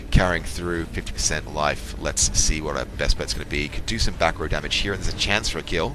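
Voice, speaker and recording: Hardly pausing, the speaker rushes at a very fast pace with ordinary pitch variation against noticeable background noise. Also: man, very deep, low pitch for a man. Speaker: video game let's player. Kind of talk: gameplay commentary.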